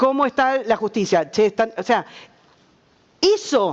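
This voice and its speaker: This woman speaks with a Rioplatense accent. Her intonation is lively. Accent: Argentine Spanish (rioplatense). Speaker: journalist, panelist. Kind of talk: panel discussion.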